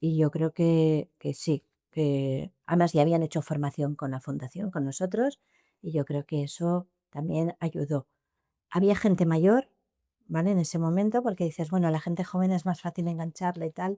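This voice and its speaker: On a very clean recording with a silent background, a woman speaks at a moderate pace and fairly low pitch, her tone dark and mellow, with ordinary pitch variation. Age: 60s. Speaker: former school principal. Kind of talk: interview. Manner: halting, with repetitions.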